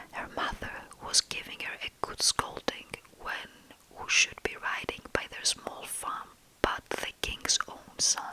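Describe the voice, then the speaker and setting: A woman whispers at a fairly slow pace, with big swings in loudness. Noticeable background noise runs underneath. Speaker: ASMR storyteller. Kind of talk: fairytale story reading for sleep. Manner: whispered, soft-spoken.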